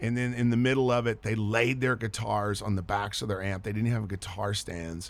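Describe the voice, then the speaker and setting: With a Texan accent, a man speaks at a fairly low pitch and a moderate pace. His intonation stays fairly even, and there are hardly any pauses. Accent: Texan, noticeable. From Texas. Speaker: touring musician and filmmaker. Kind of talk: radio interview. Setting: studio. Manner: casual, chatty.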